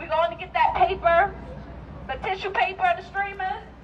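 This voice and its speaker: A woman speaks at an extremely high pitch with ordinary pitch variation. Noticeable background noise sits behind her. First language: not English. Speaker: teacher, rally speaker. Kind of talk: rally speech. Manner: animated.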